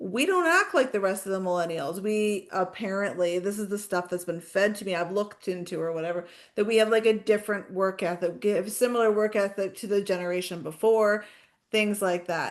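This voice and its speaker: A woman talks in an unremarkable speaking voice with fairly even intonation. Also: medium pitch for a woman, fairly quick pace. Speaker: podcast co-host. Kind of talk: casual podcast conversation.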